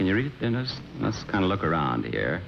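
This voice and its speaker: A man is speaking. His pitch swings very widely. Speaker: game show host. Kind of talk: TV game show hosting.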